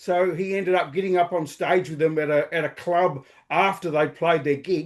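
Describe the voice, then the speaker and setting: With an Australian accent, a man speaks at a moderate pace in a high voice with fairly even intonation over a quiet background. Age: 60s. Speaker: podcaster. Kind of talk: interview. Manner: halting.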